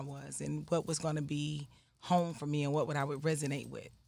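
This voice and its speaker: A woman talks at a very fast pace with a very deep, low pitch. The recording is very clean, with a silent background. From US South, Atlanta, Georgia. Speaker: priestess and shop owner. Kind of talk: interview.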